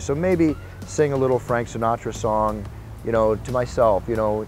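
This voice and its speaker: A medium-pitched man with an American accent and ordinary pitch variation. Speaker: combat sports ring announcer. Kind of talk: interview answer. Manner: energetic, enthusiastic.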